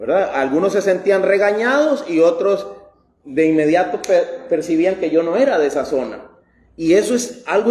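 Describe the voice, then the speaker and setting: Lively in intonation and high in pitch, a man speaks at a moderate pace with audible room echo. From Costa Rica. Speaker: pastor. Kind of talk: sermon.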